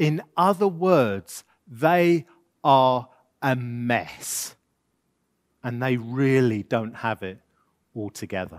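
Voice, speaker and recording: A man talks at a very slow pace and a medium pitch, with lively intonation and long, frequent pauses. The recording is very clean, with a silent background. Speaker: pastor. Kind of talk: sermon. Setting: church, in front of a congregation. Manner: loud.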